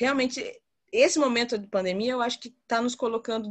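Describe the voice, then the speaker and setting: A woman speaks with an ordinary speaking voice at a fairly high pitch. She talks at a fairly quick pace with ordinary pitch variation against a quiet background. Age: 30s. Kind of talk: group discussion. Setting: video call.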